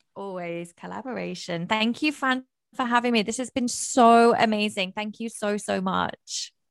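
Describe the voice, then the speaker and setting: On a very clean recording with a silent background, a woman with a northern English accent and a fairly high pitch speaks in an animated tone at a moderate pace with ordinary pitch variation. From northern England. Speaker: mindset coach. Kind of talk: casual chat. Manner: loud, animated.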